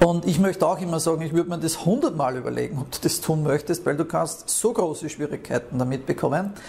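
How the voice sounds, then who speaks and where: Rushing at a very fast pace, a man speaks in a fairly high pitch with ordinary pitch variation. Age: 40s. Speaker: podcast host, emigration consultant. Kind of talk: casual monologue. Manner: halting, many fillers.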